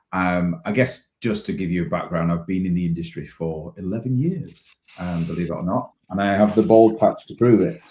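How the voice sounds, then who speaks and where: Very deep and low, a man's dark, mellow voice moves at a fairly quick pace. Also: ordinary pitch variation. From northern England, Leeds. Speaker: business partnerships lead. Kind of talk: interview. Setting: live-stream video call. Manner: hesitant, many ums.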